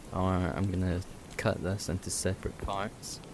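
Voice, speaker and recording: A man speaks softly at a very deep, low pitch. Noticeable background noise sits behind him. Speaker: gaming YouTuber. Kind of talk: gameplay commentary. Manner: soft-spoken; hesitant, filler-heavy.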